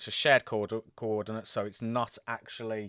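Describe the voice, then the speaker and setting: A man of medium pitch talks at a fairly slow pace on a very clean recording with a silent background and a dry, close sound with no echo. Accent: Birmingham. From England, Birmingham. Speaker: gaming livestreamer. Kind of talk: live gameplay commentary. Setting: live stream. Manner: casual, chatty.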